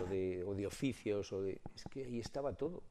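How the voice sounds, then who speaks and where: A man speaks in a dark, mellow tone. His pace is fairly slow, with ordinary pitch variation. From Spain, Soria. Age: 70s. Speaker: collector and retired teacher. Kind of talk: radio interview.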